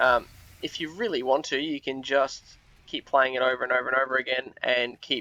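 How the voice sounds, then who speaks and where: Against noticeable background noise, a man with a medium-pitched voice talks at a fairly quick pace. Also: fairly even intonation. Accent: Australian. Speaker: gaming video creator. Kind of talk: gameplay commentary. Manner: hesitant, many fillers.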